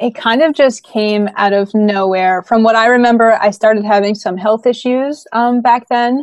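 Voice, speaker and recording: A woman with an ordinary speaking voice, fairly high in pitch, at a moderate pace with fairly even intonation and hardly any pauses. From US Northeast, Brooklyn, New York. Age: 20s. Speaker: professional drummer and YouTuber. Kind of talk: interview about mental health.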